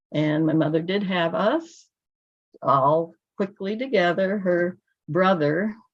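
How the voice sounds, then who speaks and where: A woman speaks with a Midwestern accent at a very slow pace, her loudness very even. Her pitch varies in an ordinary way, and she takes long, frequent pauses. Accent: American Midwest. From US Midwest, Illinois. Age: 60s. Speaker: church member giving testimony. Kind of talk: testimony. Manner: halting.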